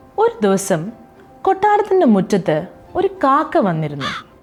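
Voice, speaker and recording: Music plays behind a woman whose voice has a fairly high pitch. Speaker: actor. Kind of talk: children's story reading.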